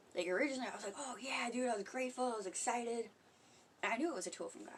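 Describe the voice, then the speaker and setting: Very fast speech from a woman at a fairly high pitch, with ordinary pitch variation. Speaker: spiritual vlogger. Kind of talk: casual livestream monologue. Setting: home. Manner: soft-spoken; casual, profane.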